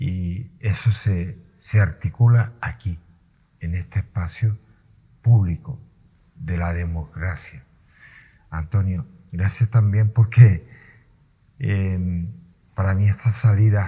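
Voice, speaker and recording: Very slowly and with long, frequent pauses, a man speaks in a fairly low, somewhat breathy voice of dark, mellow tone and ordinary pitch variation. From Canary Islands, Gran Canaria. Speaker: interviewer. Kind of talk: interview. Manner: halting, voice sometimes breaks.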